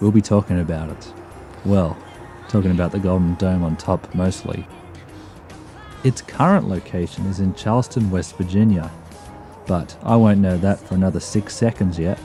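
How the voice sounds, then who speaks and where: With music in the background, a man with a very deep, low voice speaks at a moderate pace in fairly even intonation, with long, frequent pauses. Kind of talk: comedic travel documentary narration.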